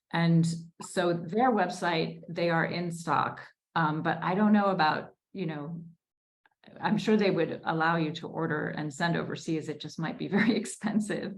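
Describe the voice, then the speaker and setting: Audible room echo around a woman's fairly low voice, moderate in pace and ordinary in pitch variation. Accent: American. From US Northeast, Newton, Massachusetts. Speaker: debut novelist. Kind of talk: Q&A at a virtual book launch.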